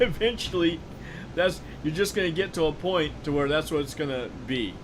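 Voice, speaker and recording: With an American accent, a man talks at a moderate pace in a fairly high pitch, his intonation lively. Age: 60s. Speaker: video game streamer. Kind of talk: casual gameplay livestream chat.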